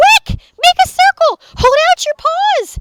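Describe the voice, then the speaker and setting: A woman uses a put-on character voice, squeaky and extremely high in pitch. She speaks at a fairly slow pace. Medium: read story.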